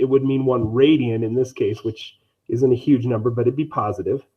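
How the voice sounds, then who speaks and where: Very fast male speech at medium pitch, intonation fairly even. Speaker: math teacher. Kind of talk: lecture. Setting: online live stream.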